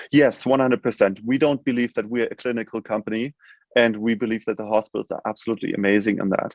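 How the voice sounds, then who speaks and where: Speaking at a very fast pace with a German accent, a man has a medium pitch and fairly even intonation, the sound dry and close with no echo. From Germany. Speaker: healthcare tech company CEO. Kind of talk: interview. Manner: halting, many fillers.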